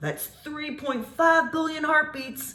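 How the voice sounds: This is a put-on character voice with a high pitch. The pace is fairly slow.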